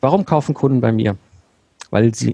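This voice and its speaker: A man's medium-pitched, dark, mellow voice with vocal fry, very fast pace, ordinary pitch variation, and dry, close sound with no echo. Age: 40s. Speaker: systems engineer and business mentor. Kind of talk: interview.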